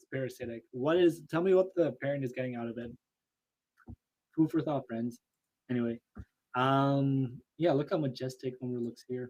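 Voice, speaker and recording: Speaking at a moderate pace and medium pitch, a man sounds animated, with ordinary pitch variation, big shifts in loudness and long, frequent pauses. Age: 20s. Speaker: photo editing streamer. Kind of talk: live stream tutorial. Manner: casual, animated.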